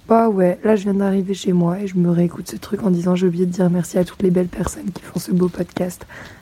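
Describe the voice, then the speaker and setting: A woman speaks at a very fast pace with a medium pitch, fairly even intonation and hardly any pauses, over noticeable background noise. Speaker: listener leaving a voice message. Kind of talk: recorded voice message. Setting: walking home outdoors.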